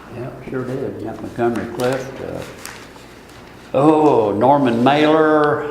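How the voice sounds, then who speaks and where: Very slow and marked by long, frequent pauses, a man's medium-pitched voice keeps fairly even intonation but swings widely in loudness, with audible room echo and noticeable background noise. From US Midwest, Marshall, Illinois. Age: 70s. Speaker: local resident interviewee. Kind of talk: oral history interview.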